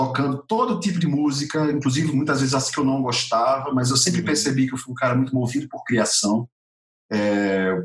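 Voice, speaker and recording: A man speaks in an ordinary speaking voice at a medium pitch and a fairly quick pace, with ordinary pitch variation. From Brazil, Natal (Rio Grande do Norte, Northeast). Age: 40s. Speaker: actor and theatre musician. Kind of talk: interview.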